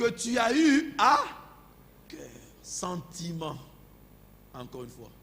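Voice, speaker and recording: The speaker has a non-native accent and talks at a very slow pace. Pitch swings very widely amid audible room echo. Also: man. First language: not French (speaking French). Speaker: pastor. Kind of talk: sermon. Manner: halting.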